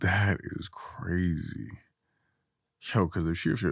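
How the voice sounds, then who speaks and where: Recorded very cleanly against a silent background, a man speaks with vocal fry at a very deep, low pitch. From Guinea. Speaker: content creator. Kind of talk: casual chat. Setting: studio.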